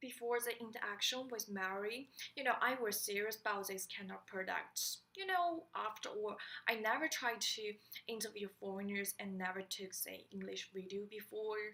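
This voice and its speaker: A woman's fairly high voice shows ordinary pitch variation. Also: moderate pace. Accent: Chinese. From China. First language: Chinese. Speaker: student. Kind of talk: class presentation. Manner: halting.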